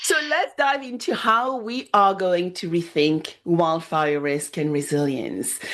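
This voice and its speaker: With a non-native accent, a woman speaks at a very slow pace with hardly any pauses, her fairly low pitch swinging very widely. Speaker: podcast host. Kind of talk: podcast interview.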